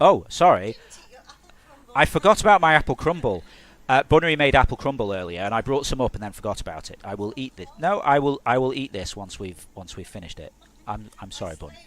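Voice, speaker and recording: Very fast and marked by vocal fry, a man talks at a medium pitch with very wide pitch swings and big swings in loudness. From southern England, Hertfordshire. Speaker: game developer. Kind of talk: live stream commentary. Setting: live stream. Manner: hesitant, many fillers and repeats.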